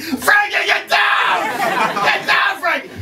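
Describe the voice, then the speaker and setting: Shouting in a put-on character voice, the speaker goes extremely high in pitch at a fairly slow pace. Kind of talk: stand-up comedy routine. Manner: panicked, shouting.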